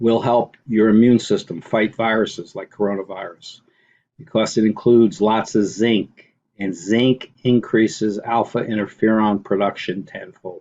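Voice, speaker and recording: A man talks in a plain, everyday voice at a medium pitch. His pace is fairly slow. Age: 50s. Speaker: online commentator. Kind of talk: screen-share video commentary.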